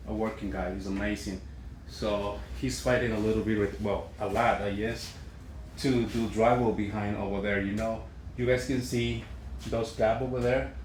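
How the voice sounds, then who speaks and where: With a fairly low pitch and vocal fry, a man speaks at a moderate pace amid audible room echo. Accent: Spanish. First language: Spanish. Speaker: construction worker. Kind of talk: on-site work walkthrough. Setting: construction site. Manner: halting.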